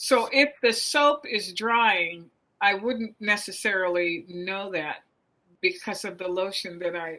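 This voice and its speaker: A woman's medium-pitched voice with a bright, sharp tone, ordinary pitch variation and a very slow pace, over a quiet background. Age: 70s. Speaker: lawyer and grandmother, consumer interviewee. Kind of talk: casual interview chat. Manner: conversational, hesitant.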